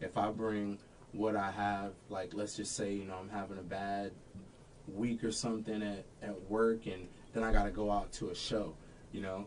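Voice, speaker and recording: With audible room echo, a man of fairly low pitch speaks in a monotone, flat intonation. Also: moderate pace. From Florida, Daytona Beach. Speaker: singer in a party band. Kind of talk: casual interview chat. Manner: deadpan.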